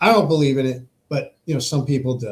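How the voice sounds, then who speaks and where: A somewhat breathy man's voice, fairly high in pitch, with ordinary pitch variation and a moderate pace. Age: 60s. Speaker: podcast host. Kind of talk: political monologue. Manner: halting, many repetitions and fillers.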